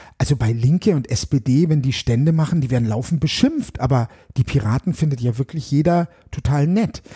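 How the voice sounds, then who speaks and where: A man's fairly high, somewhat breathy voice, dark and mellow in tone, at a moderate pace with ordinary pitch variation, in a dry, close sound with no echo. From Germany, Bavaria, moved around a lot. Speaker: political candidate and musician. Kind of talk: interview chat.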